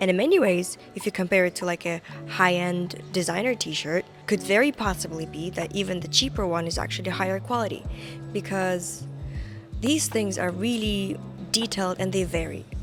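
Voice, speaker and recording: This woman talks at a moderate speed. Behind her, music can be heard. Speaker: fashion content creator. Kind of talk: casual talk to camera.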